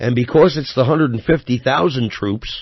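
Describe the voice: The voice has a slightly husky edge and ordinary pitch variation. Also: man, medium pitch for a man, moderate pace.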